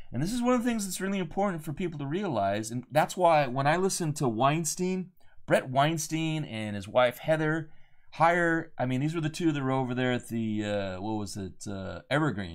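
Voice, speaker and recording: The recording is very clean with a silent background. A man talks at a moderate pace and a fairly high pitch, with very wide pitch swings. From United States. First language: Spanish. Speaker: podcast host, author and adventurer. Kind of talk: solo commentary monologue. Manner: casual, with frequent fillers and restarts.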